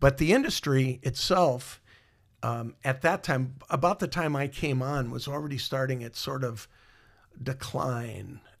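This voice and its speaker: A man speaks at a fairly slow pace in a somewhat breathy voice with ordinary pitch variation. The recording is very clean, with a silent background. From Iowa. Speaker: musician and former mall marketing director. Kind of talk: interview storytelling. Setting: studio, in person. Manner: halting with many fillers.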